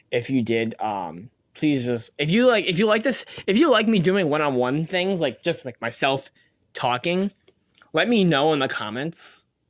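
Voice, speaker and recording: A man's voice with very wide pitch swings, in a very clean recording with a silent background. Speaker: solo podcast host on women's soccer. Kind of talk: casual solo podcast monologue. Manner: sometimes slurs words; fast, many fillers and repetitions.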